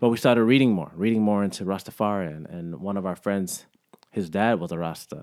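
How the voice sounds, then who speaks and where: Speaking with an American accent in a normal speaking voice, a man with fairly low pitch talks at a fairly quick pace, using ordinary pitch variation and big swings in loudness. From Alabama, raised partly in Jamaica and South Florida. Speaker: vegan community figure, festival organizer. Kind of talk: casual interview chat.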